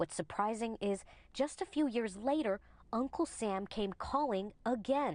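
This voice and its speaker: An unremarkable speaking voice from a woman, fairly high in pitch with lively intonation and very even loudness, against a quiet background. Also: fairly slow pace. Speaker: news reporter. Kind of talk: TV news narration.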